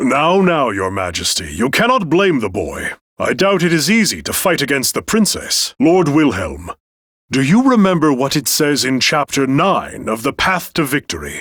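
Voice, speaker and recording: Putting on a character voice, a man speaks fairly high for a man at a moderate pace. His pitch swings very widely. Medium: video game. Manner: courteous, formal.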